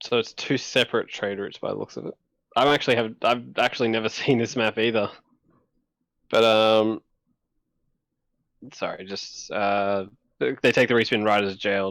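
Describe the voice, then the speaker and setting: Speaking at a moderate pace with an Australian accent, a man with a medium pitch keeps his intonation fairly even, leaving long, frequent pauses on a very clean recording with a silent background. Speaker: co-caster. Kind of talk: live commentary.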